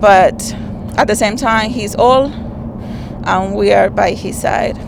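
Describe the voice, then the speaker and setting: Speaking very slowly with a non-native accent, a woman is heard over noticeable background noise and audible room echo. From Dominican Republic. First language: Spanish. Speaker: rideshare passenger sharing story. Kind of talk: personal testimony. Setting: in a car. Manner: halting.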